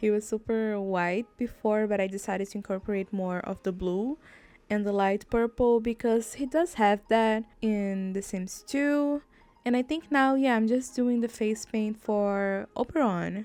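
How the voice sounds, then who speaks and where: Speaking at a fairly slow pace with a non-native accent, a woman has a fairly high pitch. Her tone is dark and mellow, with ordinary pitch variation. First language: not English. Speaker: gaming YouTuber. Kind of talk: casual gameplay commentary. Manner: chatty, rambling with fillers.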